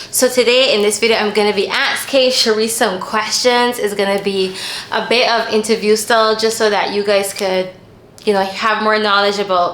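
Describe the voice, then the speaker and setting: A woman with a fairly high pitch speaks at a moderate pace in a flat monotone and very even loudness, with audible room echo and noticeable background noise. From Barbados. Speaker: YouTuber interviewing a guest. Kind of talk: casual interview chat.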